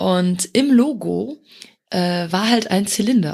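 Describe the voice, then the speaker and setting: A woman's voice sits at a fairly low pitch and sounds somewhat breathy. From Luxembourg. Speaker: community manager. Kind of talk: casual chat.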